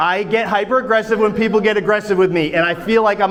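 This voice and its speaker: Speaking loudly and very fast, a man with a high pitch keeps his intonation fairly even, with audible room echo and noticeable background noise. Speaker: first amendment auditor. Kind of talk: heated confrontation. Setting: courthouse entrance.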